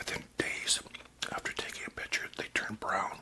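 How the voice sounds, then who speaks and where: Noticeable background noise fills the recording. Beneath it, someone whispers. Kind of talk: casual talk to camera, whispered chat. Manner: whispered.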